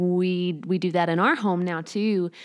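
Recorded very cleanly against a silent background, a woman speaks with a Chicago accent. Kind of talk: interview. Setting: home.

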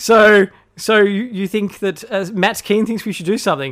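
Recorded very cleanly against a silent background, a man speaks. His pitch is high. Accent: Australian. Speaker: podcast host. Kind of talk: political commentary podcast. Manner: fast talker, ranting.

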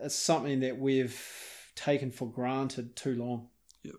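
A man with a New Zealand accent speaks in a dark, mellow tone with monotone, flat intonation. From New Zealand, South Westland. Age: 40s. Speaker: hunter and filmmaker. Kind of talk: interview. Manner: halting.

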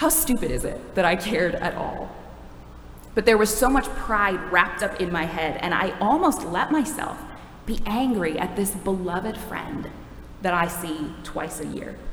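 A woman at a medium pitch with lively intonation and a moderate pace, over noticeable background noise. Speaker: preacher. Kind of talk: sermon. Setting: church.

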